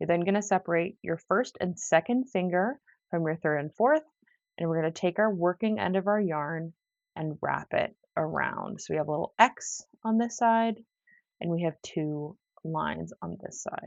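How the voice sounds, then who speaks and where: A woman speaks in an ordinary speaking voice, fairly low in pitch, at a moderate pace with ordinary pitch variation. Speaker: crochet teacher. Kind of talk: tutorial. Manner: casual.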